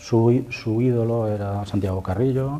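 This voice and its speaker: A man talks at a fairly slow pace, and noticeable background noise is present throughout. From Spain, Valencia (Torrent). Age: 50s. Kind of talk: testimony interview. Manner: halting, many fillers.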